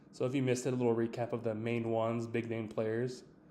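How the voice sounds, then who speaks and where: At a fairly quick pace, a man with a medium-pitched voice talks in a room with audible echo. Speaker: sports podcaster. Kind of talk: solo podcast commentary.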